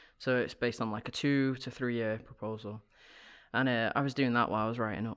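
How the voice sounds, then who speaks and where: Very fast and in a monotone, flat intonation, a man with a British accent speaks in a very clean recording with a silent background. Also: medium pitch for a man. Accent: British, sounds posh to Americans. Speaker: planetary scientist. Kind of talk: casual chat.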